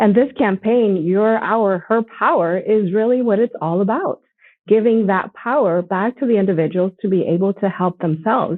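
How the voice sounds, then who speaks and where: An ordinary speaking voice at a moderate pace, with very even loudness and ordinary pitch variation. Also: woman, medium pitch for a woman. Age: 40s. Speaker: nonprofit ambassador. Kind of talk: conversation.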